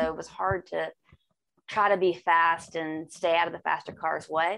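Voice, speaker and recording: A woman talks at a moderate pace in a normal speaking voice. Her pitch sits fairly low. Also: quiet background. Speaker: racing driver. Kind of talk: casual interview.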